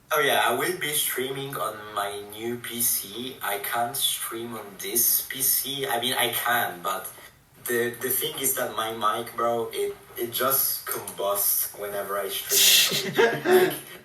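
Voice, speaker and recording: With audible room echo and noticeable background noise, a man speaks at a very slow pace. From Italy. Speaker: gamer. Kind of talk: casual chat. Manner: loud. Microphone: laptop mic, quiet and poor.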